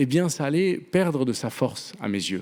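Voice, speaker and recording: A man talks at a very slow pace. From Venezuela. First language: Spanish (speaking French). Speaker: novelist. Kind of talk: panel talk. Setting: theatre stage with audience.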